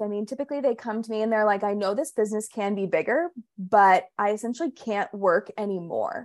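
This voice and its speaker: A woman with a normal speaking voice, fairly high in pitch with lively intonation, at a fairly quick pace, in a dry, close sound with no echo over a quiet background. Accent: American. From Pittsburgh, Pennsylvania. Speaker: business strategist. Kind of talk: interview.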